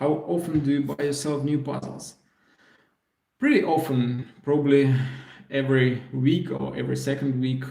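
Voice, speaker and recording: At a moderate pace with long, frequent pauses, a man with a fairly high pitch and a dark, mellow tone speaks in a monotone, flat intonation amid audible room echo. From Belarus. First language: Russian. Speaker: puzzle YouTuber. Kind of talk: live stream Q&A. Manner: hesitant, many fillers.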